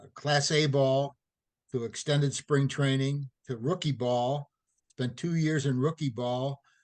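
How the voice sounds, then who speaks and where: At a fairly slow pace, a man with an American accent speaks in a plain, everyday voice that is fairly high in pitch. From St. Louis, Missouri. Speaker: retired athletic trainer. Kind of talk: interview.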